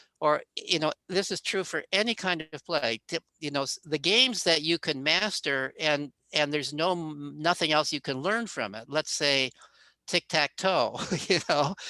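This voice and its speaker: In a very clean recording with a silent background and a dry, close sound with no echo, a man speaks at a moderate pace with a fairly high pitch, ordinary pitch variation and a bright, sharp tone. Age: 70s. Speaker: psychology professor. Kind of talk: interview.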